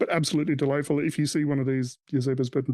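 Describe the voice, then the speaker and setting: A man with an Australian accent talks at a very fast pace in a medium-pitched voice with a dark, mellow tone. His intonation is monotone and flat, and the sound is dry and close with no echo. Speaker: podcast host. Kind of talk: casual chat.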